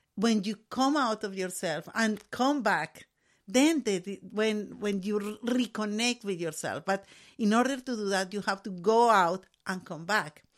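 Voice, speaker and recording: Speaking fairly slowly with a Spanish accent, a woman uses a medium pitch and ordinary pitch variation on a very clean recording with a silent background. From Colombia. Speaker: artist and educator. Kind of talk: casual chat. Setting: studio.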